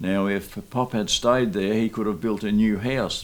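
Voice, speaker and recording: Here a man talks with an Australian accent at a fairly slow pace. His pitch sits fairly low. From Australia, Mildura region. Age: 80s+. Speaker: interviewee, descendant of immigrants. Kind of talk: oral history testimony.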